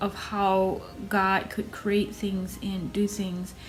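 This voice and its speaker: The speaker has an American accent and a somewhat breathy voice, delivered in a monotone, flat intonation. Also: woman. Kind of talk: casual talk to camera.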